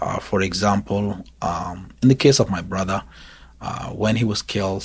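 At a fairly slow pace, a man with a fairly low pitch and a somewhat breathy voice talks with ordinary pitch variation. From South Sudan. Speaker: pastor. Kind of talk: interview.

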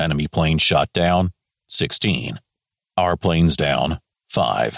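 In a put-on character voice, a man talks slowly at an extremely low pitch with vocal fry and lively intonation, the sound dry and close with no echo. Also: fairly bright tone.

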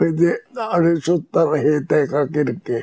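Speaking with a Hiroshima accent at a fairly slow pace, the voice has a dry, close sound with no echo. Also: man. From Japan, Hiroshima. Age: 90s. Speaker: war veteran. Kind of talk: testimony.

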